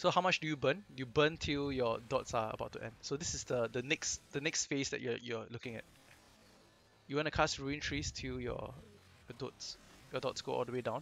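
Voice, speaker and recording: Speaking at a moderate pace in a Singaporean accent, a man uses a medium pitch with ordinary variation and vocal fry. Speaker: game guide commentator. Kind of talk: casual gameplay commentary.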